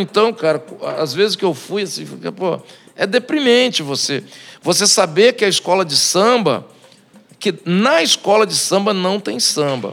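Pitched high, a man talks at a fairly slow pace. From Brazil, Espírito Santo. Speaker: samba composer and singer. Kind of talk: casual chat. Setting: bar.

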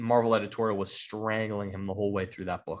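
The man's voice sits at a medium pitch and has a bright, sharp tone. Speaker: comic book podcast host. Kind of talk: casual chat. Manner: halting, many repeated words.

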